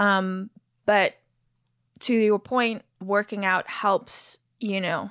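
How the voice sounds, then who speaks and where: With an American accent, a woman talks at a very slow pace in a flat monotone at medium pitch, leaving long, frequent pauses in a dry, close sound with no echo on a very clean recording with a silent background. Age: 40s. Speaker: actress. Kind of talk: casual interview chat.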